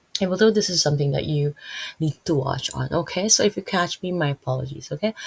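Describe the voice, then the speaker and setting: With a Filipino accent, a woman speaks at a very deep, low pitch in a dry, close recording with no echo. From Philippines. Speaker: Bible teacher. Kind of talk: Bible reading and commentary. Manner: halting, many fillers.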